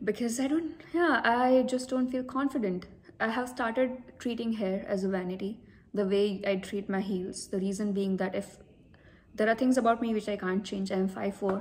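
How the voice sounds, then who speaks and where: In a fairly high pitch, a woman talks at a moderate pace. She sounds somewhat breathy, and her pitch variation is ordinary. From India. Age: 30s. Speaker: vlogger. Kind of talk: personal talk to camera.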